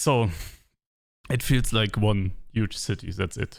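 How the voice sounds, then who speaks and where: Speaking very slowly with a German accent, a man with a fairly low voice is heard in a very clean recording with a silent background. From Germany. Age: 30s. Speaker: vlogger. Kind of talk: personal monologue to camera. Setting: alone with camera. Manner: halting.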